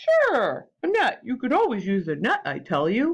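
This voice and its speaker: Put-on character voice, fairly high in pitch, at a moderate pace. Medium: read story.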